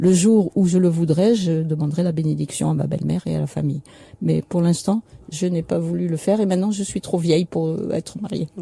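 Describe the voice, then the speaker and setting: Somewhat breathy and dark, mellow in tone, a woman speaks fairly low at a fairly quick pace with fairly even intonation in a dry, close sound with no echo. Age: 70s. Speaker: author and widow of a political victim. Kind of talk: radio interview.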